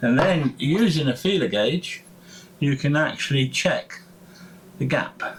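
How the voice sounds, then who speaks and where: Somewhat breathy, a man speaks fairly slowly with lively intonation. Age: 70s. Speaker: hobbyist motorcycle restorer. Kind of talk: tutorial. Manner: halting, many fillers.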